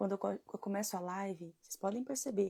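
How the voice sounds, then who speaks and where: Soft-spoken and somewhat breathy, a woman talks at a fairly quick pace in a medium pitch. Her tone is dark and mellow, and the sound is dry and close with no echo. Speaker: women's devotional leader. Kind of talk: devotional live stream. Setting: live stream. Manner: soft-spoken at start.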